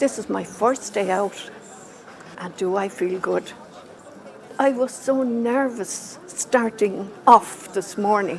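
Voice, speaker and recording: With an Irish accent, a woman speaks at a very slow pace with long, frequent pauses, her medium pitch showing ordinary variation over noticeable background noise. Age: old. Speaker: older shopper. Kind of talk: video interview.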